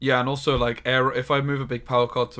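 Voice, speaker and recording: Music plays in the background as a man speaks very fast at a medium pitch. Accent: southern English. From southern England. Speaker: game streamer. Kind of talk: live gameplay stream chat. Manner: casual, chatty.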